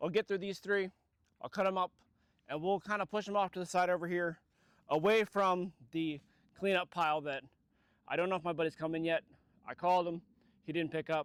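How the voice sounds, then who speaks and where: A loud, high-pitched man speaks with fairly even intonation and long, frequent pauses. The recording is very clean and dry, close with no echo, over a silent background. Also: fairly quick pace. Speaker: chainsaw vlogger. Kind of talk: casual vlog narration. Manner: casual, filler words.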